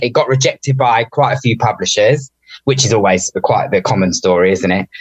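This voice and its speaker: A man speaks at a fairly quick pace with lively intonation. His voice is somewhat breathy. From suburbs of London. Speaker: author. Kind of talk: interview.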